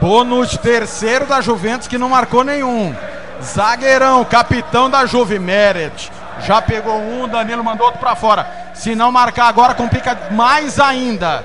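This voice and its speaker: Over noticeable background noise, a man with an extremely high pitch uses a raised, projected voice and a dramatic tone, speaking at a fairly slow pace with ordinary pitch variation. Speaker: radio match narrator. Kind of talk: live radio football commentary, penalty shootout. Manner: dramatic, rising call at each kick, drawn-out goal shouts.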